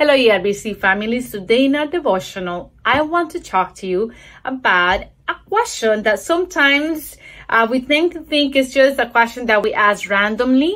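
The voice has a bright, sharp tone and a non-native accent. Its pitch swings very widely over a quiet background. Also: woman, high pitch for a woman, moderate pace. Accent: noticeable foreign. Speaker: church devotional speaker; speaker. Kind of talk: recorded video devotional. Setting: recorded video. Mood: warm, encouraging. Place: home room. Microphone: phone near.

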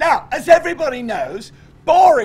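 Very wide pitch swings in a male voice. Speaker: storyteller. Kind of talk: live comedy history stage show. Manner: energetic. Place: stage.

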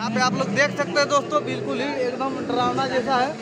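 A man talks with clear music playing in the background. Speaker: vlogger. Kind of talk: casual vlog commentary. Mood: playfully scared. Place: tunnel cave. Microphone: phone near.

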